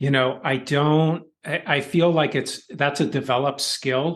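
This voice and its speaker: The setting is quiet. This man's pitch varies in an ordinary way. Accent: New York. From US Northeast (Philadelphia). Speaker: author and education consultant. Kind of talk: podcast interview.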